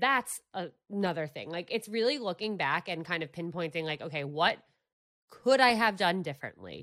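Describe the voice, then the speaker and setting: A woman's fairly low voice with a bright, sharp tone, lively intonation and a fairly quick pace, in a very clean recording with a silent background. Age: 20s. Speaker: dating podcast host. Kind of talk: casual chat.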